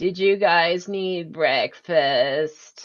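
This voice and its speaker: Someone uses a put-on character voice at a middle pitch. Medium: actual play. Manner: eager, friendly.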